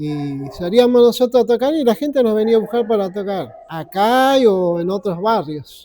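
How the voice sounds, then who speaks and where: Here a man speaks with a high voice. His intonation is lively. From Argentina, Buenos Aires west suburbs. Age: 70s. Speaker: veteran rock musician. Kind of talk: interview. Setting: community club. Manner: halting.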